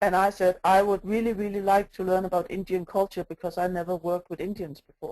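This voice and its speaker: A woman with a non-native accent talks at a very fast pace, with hardly any pauses. Her tone is dark and mellow, her intonation monotone and flat. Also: medium pitch for a woman. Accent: non-native English, mispronounces some words. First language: not English. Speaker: agile coach. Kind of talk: conference talk. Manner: hesitant, many fillers.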